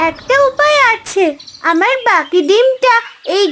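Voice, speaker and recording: An extremely high, cartoonish character voice moves at a fairly slow pace over clear background noise. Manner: earnest, concerned.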